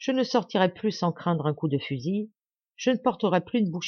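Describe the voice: Lively intonation runs through this plain reading aloud, set against a quiet background.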